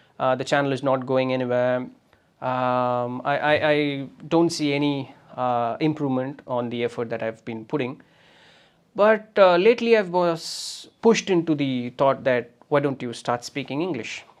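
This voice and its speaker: With a Tamil Nadu accent, a man speaks in a fairly high voice with ordinary pitch variation. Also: moderate pace. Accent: Tamil Indian English. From Tamil Nadu, India. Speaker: podcaster. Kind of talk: motivational monologue. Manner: hesitant, many fillers.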